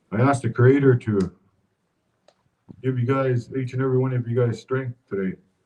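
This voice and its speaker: A man speaks fairly quickly at medium pitch, leaving long, frequent pauses. His tone is dark, mellow and somewhat breathy, with fairly even intonation. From Fort Chipewyan, northern Alberta, Canada. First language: Cree. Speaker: community speaker at vigil. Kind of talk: public speech at memorial vigil.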